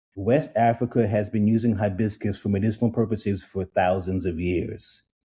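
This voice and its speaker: Somewhat breathy, a man with an American accent speaks at a fairly low pitch in a dark, mellow tone. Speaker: drinks entrepreneur. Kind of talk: interview.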